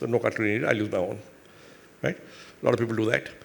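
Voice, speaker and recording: A man with an Indian accent at a fairly quick pace. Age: 60s. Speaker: business executive and investor. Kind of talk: onstage interview.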